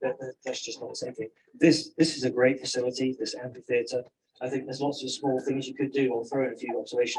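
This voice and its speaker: A man with an English accent talks at a very fast pace in a flat monotone at medium pitch, his loudness swinging widely. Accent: English accent, noticeable. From England. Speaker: resident giving public comment. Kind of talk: public comment at a community meeting.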